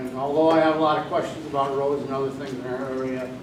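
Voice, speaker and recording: A man talks at a fairly quick pace in monotone, flat intonation. Noticeable background noise and audible room echo are present. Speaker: audience member. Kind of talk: question from audience. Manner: loud. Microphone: speaking without a microphone.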